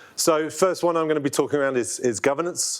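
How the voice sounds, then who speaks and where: A man with a London accent at a fairly quick pace. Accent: British (London). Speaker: product owner presenting software. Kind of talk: conference presentation. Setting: room with live audience. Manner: hesitant, many fillers.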